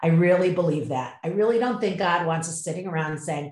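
A woman's fairly low, somewhat breathy voice at a moderate pace, with ordinary pitch variation. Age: 50s. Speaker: yoga practitioner and mother. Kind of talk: casual chat.

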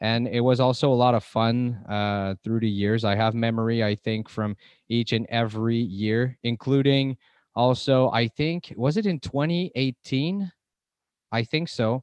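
In an unremarkable speaking voice, a man talks at a fairly slow pace with medium pitch and very even loudness. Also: ordinary pitch variation. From Montreal, Canada. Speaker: podcast host.

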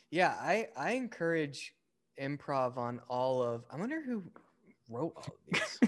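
This man has fairly high pitch and very wide pitch swings, moving at a fairly slow pace. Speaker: filmmaker and screenwriter. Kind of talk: casual chat. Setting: at home, rain outside.

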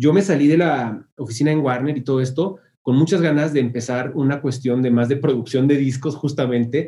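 A man with a Mexican accent, fairly high pitch and a dark, mellow, somewhat breathy tone, at a fairly quick pace with hardly any pauses, fairly even intonation and very even loudness. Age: 30s. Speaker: music marketing agency founder. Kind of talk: interview. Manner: casual.

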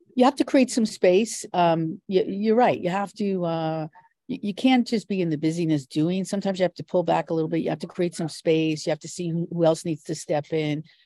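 A woman with a plain, everyday voice talks at a fairly quick pace in a fairly low pitch, with ordinary pitch variation. The very clean recording has a silent background and a dry, close sound with no echo. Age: 60s. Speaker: business strategist and investor. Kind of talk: interview.

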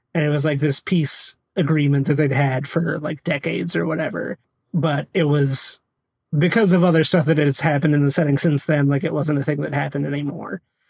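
A man's fairly high, somewhat breathy voice at a fairly quick pace, fairly even in intonation, dry and close with no echo. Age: 30s. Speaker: podcast co-host. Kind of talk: casual chat.

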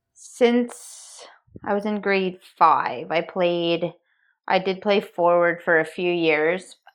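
Against a quiet background, a woman with an ordinary speaking voice talks at a fairly low pitch with ordinary pitch variation. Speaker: professional ice hockey goalie. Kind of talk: podcast interview.

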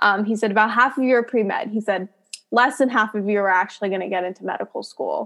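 Speaking at a very fast pace, a woman uses a fairly high pitch with ordinary pitch variation. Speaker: podcast host, pre-PA student. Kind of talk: casual interview.

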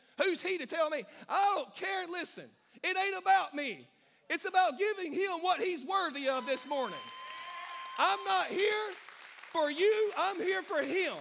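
A man with a Southern US accent speaks at an extremely high pitch, in a bright, sharp tone with lively intonation. His pace is fairly slow with long, frequent pauses, and crowd noise sits in the background. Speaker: pastor. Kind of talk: sermon to live congregation. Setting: church with congregation and live stream. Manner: animated, call-and-response, fiery and exhorting; informal and warm, pausing to poll the crowd.

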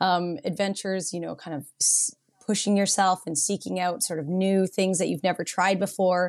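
A woman with a Canadian accent, an unremarkable speaking voice, medium pitch, fairly even intonation and a moderate pace, on a very clean recording with a silent background. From Canada, Vancouver Island (Nanaimo, BC). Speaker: surf school owner and instructor. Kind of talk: casual interview.

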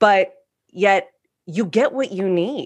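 A plain, everyday voice with lively intonation on a very clean recording against a silent background. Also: woman. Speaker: coach, collective member. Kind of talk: casual discussion.

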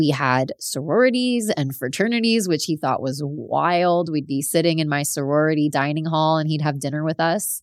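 A woman with a South Florida accent and a very deep, low pitch speaks at a moderate pace with lively intonation and hardly any pauses, on a very clean recording with a silent background. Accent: American, South Florida. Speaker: podcast host. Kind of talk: solo storytelling monologue.

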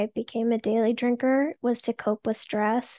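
Over a quiet background, a woman speaks at a high pitch in a flat, monotone way at a fairly slow pace, the sound dry and close with no echo. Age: 30s. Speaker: sober podcaster and small business owner. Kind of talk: casual interview.

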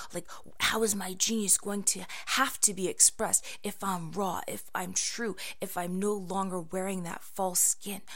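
At a fairly slow pace, a woman speaks in a flat monotone at a medium pitch. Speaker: podcast host. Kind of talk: poem / spoken word performance. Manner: repetitive, building rhythm with pauses and breathy emphasis.

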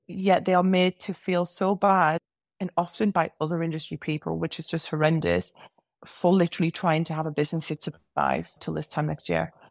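A woman with an English accent speaks at a fairly low pitch in a monotone, flat intonation. The recording is very clean with a silent background and a dry, close sound with no echo. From England. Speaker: business coach for hairstylists. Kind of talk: casual interview chat.

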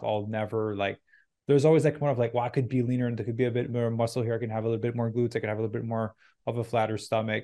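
A man speaks at a very fast pace with a medium pitch and a dark, mellow tone. His intonation is monotone and flat, over a quiet background. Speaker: podcast host and fitness coach. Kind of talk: podcast interview. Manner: casual.

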